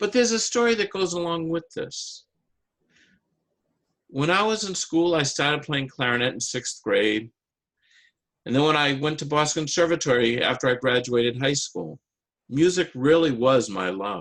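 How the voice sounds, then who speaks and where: Over a quiet background, the speaker keeps a moderate pace with long, frequent pauses and very wide pitch swings. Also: man, fairly high pitch for a man. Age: 60s. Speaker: amateur public speaker and clarinetist. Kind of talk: prepared speech.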